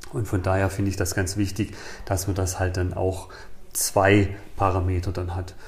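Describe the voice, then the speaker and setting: A man with a very deep, low pitch, somewhat breathy, in monotone, flat intonation with long, frequent pauses and audible room echo. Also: moderate pace. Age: 50s. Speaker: personal trainer and trail runner. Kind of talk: casual interview. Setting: indoors on a sofa.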